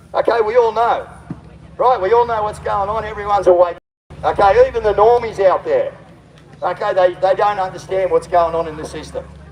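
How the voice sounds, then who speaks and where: An animated man with an Australian accent talks fairly quickly in a high voice. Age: 60s. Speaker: political candidate and activist livestreamer. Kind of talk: outdoor rally speech to livestream. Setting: outdoors at a protest.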